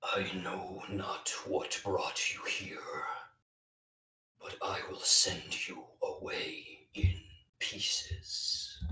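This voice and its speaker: A man's put-on character voice, extremely high-pitched and raspy, at a very slow pace. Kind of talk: archaic, ominous. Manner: menacing, eerie.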